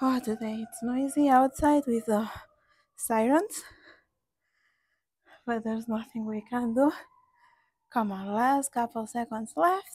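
Against a quiet background, a woman with a high pitch speaks fairly slowly with ordinary pitch variation, long, frequent pauses and big swings in loudness. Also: dry sound with no echo. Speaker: fitness instructor. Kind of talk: workout instruction. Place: garden.

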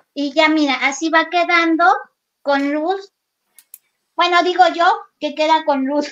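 Against a quiet background, a woman with a Mexican accent speaks at a fairly slow pace with extremely high pitch, fairly even intonation and long, frequent pauses. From Mexico, Guerrero (near Acapulco). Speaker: craft artist; craft instructor. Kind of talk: live craft demo. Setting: video call from her workshop.

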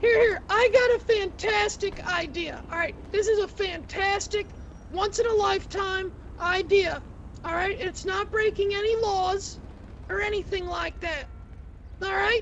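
The voice is extremely high in pitch. Clear background noise can be heard. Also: moderate pace. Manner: showy, bossy, escalating to shouting.

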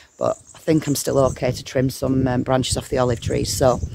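Recorded dry with no echo amid noticeable background noise, a woman talks at a moderate pace. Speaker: smallholder vlogger. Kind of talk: casual vlog chat. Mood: slightly worried about ladder. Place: garden. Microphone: phone near.

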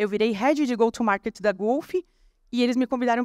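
A woman talks at a fairly quick pace. The sound is dry with no echo, over a quiet background. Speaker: copywriter and conference speaker; conference speaker. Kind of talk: conference talk. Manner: fast. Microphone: handheld.

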